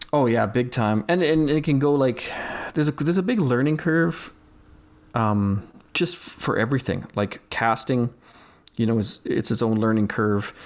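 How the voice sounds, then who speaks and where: A man with a Canadian accent talks at a moderate pace and medium pitch in a normal speaking voice. His intonation is lively and his loudness very even. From Saskatchewan, Canada. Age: 40s. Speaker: wildlife photographer. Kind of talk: casual chat.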